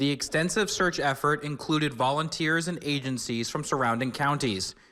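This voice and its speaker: A man's fairly high, bright, sharp voice with ordinary pitch variation, in a very clean recording with a silent background. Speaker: TV news reporter. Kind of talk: TV news report.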